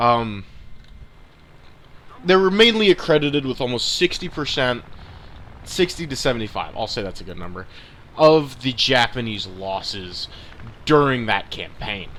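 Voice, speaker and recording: Speaking at a moderate pace with long, frequent pauses, a man uses a medium pitch with very wide pitch swings. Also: big swings in loudness. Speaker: gaming YouTuber. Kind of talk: gameplay commentary. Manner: halting, self-correcting; casual.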